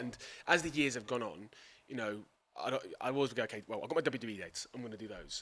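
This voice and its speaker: With an English accent, a man speaks at a very fast pace with ordinary pitch variation. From England. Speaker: professional wrestling commentator and ring announcer. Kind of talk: podcast interview answer.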